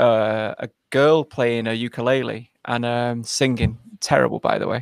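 A man talks in a northern English accent. His intonation is fairly even, and the sound is dry and close with no echo. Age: 40s. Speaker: YouTube content creator and author. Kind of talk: casual interview. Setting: video call.

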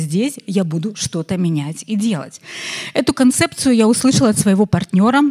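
A woman talks at a fairly quick pace in a medium pitch, her pitch swinging very widely, with a dry, close sound and no echo. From Belarus. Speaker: entrepreneur and marketer. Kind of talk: conference talk. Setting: stage with audience.

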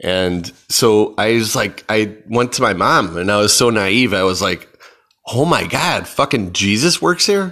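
With lively intonation and an American accent, a man speaks slowly-ish at a fairly low pitch, keeping a fairly slow pace. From Chicago. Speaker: podcast host. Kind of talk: casual solo monologue. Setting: at home in apartment. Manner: rambling, many fillers (um, uh, like).

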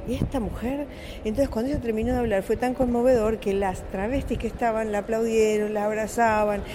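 A woman speaks at a fairly quick pace and a fairly high pitch, her intonation fairly even. Noticeable background noise is present. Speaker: film director. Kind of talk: interview.

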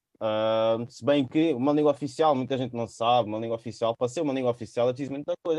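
A man at a very fast pace, medium in pitch, with ordinary pitch variation and a dry, close sound with no echo. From São Tomé and Príncipe heritage. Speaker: podcast host. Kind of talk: casual chat.

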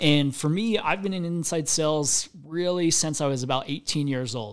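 An unremarkable speaking voice at a fairly slow pace with ordinary pitch variation, in a very clean recording over a silent background. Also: man. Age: 30s. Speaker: solar company CEO. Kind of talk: interview.

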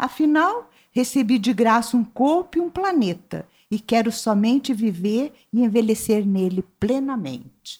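A woman with an ordinary speaking voice and a fairly high pitch speaks at a fairly slow pace with lively intonation. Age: 60s. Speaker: writer and visual artist. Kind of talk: interview.

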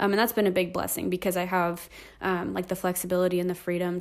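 A woman speaks with an American accent at a medium pitch. The recording is very clean, with a silent background. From California, Inland Empire. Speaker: children's ministry director. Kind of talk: casual interview.

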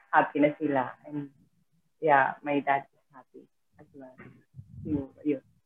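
Her voice is very deep and low, a woman speaking in a flat monotone at a very slow pace. Long, frequent pauses break it up, and her loudness swings widely. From Philippines, Mindanao (Butuan, Visayan speaker). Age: 30s. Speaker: overseas worker, nanny and financial coach. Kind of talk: casual interview. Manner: halting, frequent laughter.

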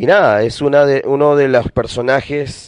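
A man's voice with a dry, close sound and no echo. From Peru, Lima. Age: 30s. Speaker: podcast host and urban music producer. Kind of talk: casual podcast monologue. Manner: hesitant, frequent fillers and repetitions.

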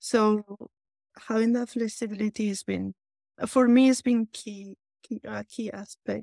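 With a Spanish accent, a woman speaks fairly slowly in a dark, mellow tone at a fairly high pitch, her intonation monotone and flat, with big swings in loudness and long, frequent pauses. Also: dry, close sound with no echo. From Spain. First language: Spanish or Basque. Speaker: patient advisory board member. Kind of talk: panel discussion.

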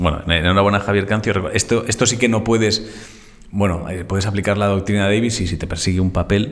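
A man's fairly low voice, moving fairly quickly and fairly evenly in intonation, comes through noticeable background noise. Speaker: podcast co-host. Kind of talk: casual chat.

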